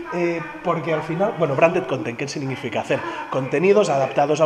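A man's high, animated voice at a very fast pace, lively in intonation, over noticeable background noise. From Catalonia, Spain. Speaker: youtuber and former radio host; youtuber, former radio host. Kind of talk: casual vlog. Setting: radio museum, Ponferrada. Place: hall. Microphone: phone near.

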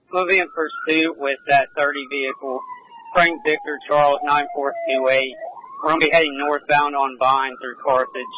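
A man talks at a moderate pace with fairly even intonation. The sound is dry with no echo, though noticeable background noise is present. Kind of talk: radio dispatch traffic. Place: car. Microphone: two way radio.

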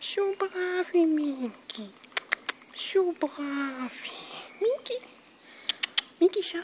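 Over noticeable background noise, a woman with an extremely high pitch speaks very slowly, her voice swinging very widely in pitch between long, frequent pauses. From Austria. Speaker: cat feeder. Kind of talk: talking to an animal. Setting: outdoors. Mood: sweet, high-pitched coaxing. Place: garden. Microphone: phone near.

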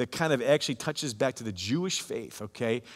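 Here a man talks at a fairly quick pace. His intonation is lively, and the background is quiet. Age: 50s. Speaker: pastor. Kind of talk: sermon. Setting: online church service recording. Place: church.

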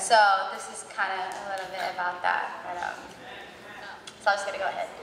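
The woman talks amid noticeable background noise, and her voice carries audible room echo. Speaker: spoken word performer at a worship event. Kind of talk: casual talk to audience. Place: church. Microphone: handheld.

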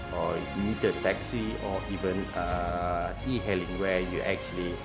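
Clear music plays behind a man who is talking. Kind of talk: interview answer. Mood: friendly, smiling.

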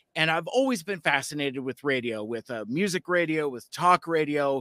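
The man's fairly high voice has a bright, sharp tone, with an American accent. The sound is dry and close with no echo. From US West Coast. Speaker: podcast host. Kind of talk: casual chat. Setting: video call.

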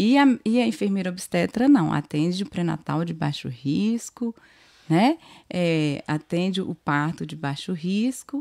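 A woman's dark, mellow voice, fairly low-pitched and fairly slow, with very wide pitch swings and a quiet background. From Bahia born, raised in Minas Gerais, Brazil. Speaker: obstetric nurse. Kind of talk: casual interview. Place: studio. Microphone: studio mic.

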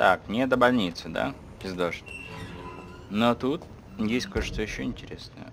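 Over noticeable background noise, a man speaks at a moderate pace with long, frequent pauses and big swings in loudness. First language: Russian. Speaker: gaming streamer. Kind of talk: let's play commentary. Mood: irritated, swearing, joking.

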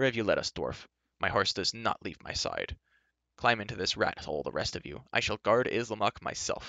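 A man's put-on character voice, fairly low in pitch, bright and sharp in tone, with vocal fry, lively intonation and a dry, close sound with no echo. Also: moderate pace.

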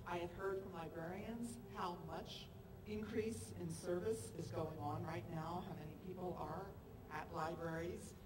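A woman with an American accent speaks at a moderate pace in a fairly low voice, her pitch swinging very widely, over noticeable background noise. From US Northeast, Philadelphia. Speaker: state senator. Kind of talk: press conference speech. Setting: outdoors on capitol steps. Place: street.

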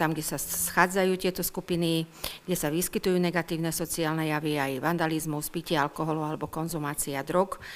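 This woman talks at a moderate pace with fairly even intonation and a fairly low pitch. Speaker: town official at council meeting. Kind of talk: formal report to council. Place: hall. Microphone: podium.

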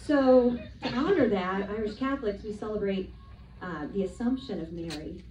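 A woman speaks with ordinary pitch variation, with light background noise and audible room echo. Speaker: stand-up comic. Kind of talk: stand-up comedy routine. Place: stage. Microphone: pa.

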